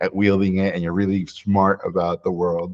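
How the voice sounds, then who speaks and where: A man speaks in a plain, everyday voice at a moderate pace and fairly low pitch, with a dry, close sound with no echo. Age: 40s. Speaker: animation filmmaker. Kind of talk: interview conversation.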